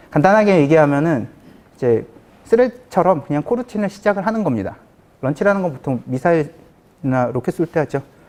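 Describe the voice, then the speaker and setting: At a fairly quick pace, a man talks at a fairly high pitch with very wide pitch swings. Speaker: conference speaker, software developer. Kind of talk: technical conference talk. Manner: fast.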